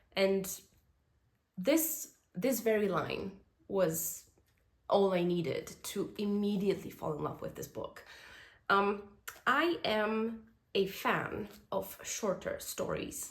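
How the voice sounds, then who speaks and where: Speaking very slowly with long, frequent pauses, a woman shows vocal fry and lively intonation. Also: medium pitch for a woman. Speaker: book reviewer. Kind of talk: casual book review to camera. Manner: hesitant, many filler sounds.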